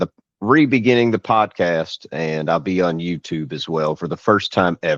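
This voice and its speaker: A man with a Kentucky accent speaks at a moderate pace in a very deep, low pitch with lively intonation. The sound is dry and close, with no echo. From Louisville, Kentucky. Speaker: blogger, panel guest. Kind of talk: casual panel discussion.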